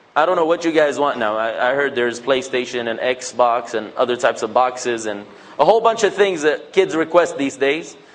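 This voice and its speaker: A man speaks in an animated tone at a fairly quick pace, his pitch fairly high. His intonation is lively, with noticeable background noise. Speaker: Islamic speaker. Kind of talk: talk to mosque audience.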